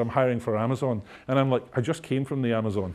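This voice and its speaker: A man speaks very fast with a Scottish accent. His pitch variation is ordinary. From Scotland. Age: 50s. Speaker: technology executive. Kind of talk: lecture. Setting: stage with audience. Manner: humorous. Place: hall. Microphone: lapel.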